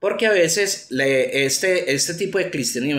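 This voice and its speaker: Audible room echo carries a man's high-pitched voice in an Antioquia accent. He talks at a fairly slow pace with ordinary pitch variation. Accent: Colombian paisa (Antioquia). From Colombia, Antioquia. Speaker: atheism YouTuber. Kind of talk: commentary monologue. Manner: halting, many fillers.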